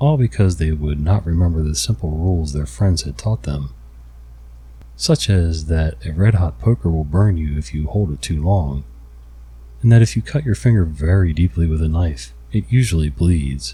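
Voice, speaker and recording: The voice has a dark, mellow tone, sounds somewhat breathy, and moves at a moderate pace with lively intonation. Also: man, very deep, low pitch for a man. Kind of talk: ASMR story reading; bedtime story reading. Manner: soft, quiet, relaxing.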